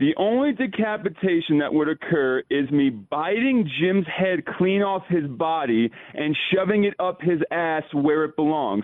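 A man's high-pitched voice, fairly slow, with lively intonation, very even loudness and hardly any pauses, over noticeable background noise. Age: 20s. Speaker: radio caller. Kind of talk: call-in banter. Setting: phone call. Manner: animated.

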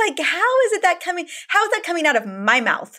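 The voice is raised and projected, with a bright, sharp tone. It moves at a very fast pace through very wide pitch swings. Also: woman. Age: 40s. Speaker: podcast host and doctor. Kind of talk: interview.

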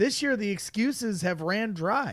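In a very clean recording with a silent background, a man with a Chicago accent speaks with very wide pitch swings. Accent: Chicago-area Midwestern. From northwest Indiana, Crown Point. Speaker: sports podcast producer. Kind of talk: casual sports talk.

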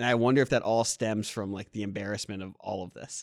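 Dry and close with no echo, the very clean recording has a silent background. A man talks fairly quickly in a plain, everyday voice at a medium pitch with fairly even intonation. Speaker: co-host. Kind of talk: casual sports banter.

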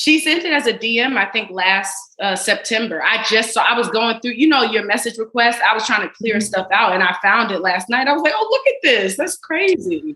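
Fairly high in pitch, a woman with an unremarkable speaking voice talks at a fairly quick pace with lively intonation. She takes hardly any pauses. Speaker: actress. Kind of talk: casual chat.

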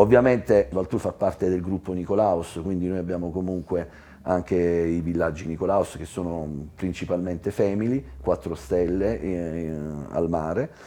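A man with a very deep, low voice speaks with ordinary pitch variation. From Apulia, southern Italy (Ostuni). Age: 50s. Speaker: tourism entrepreneur. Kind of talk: interview. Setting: hotel lounge with live audience.

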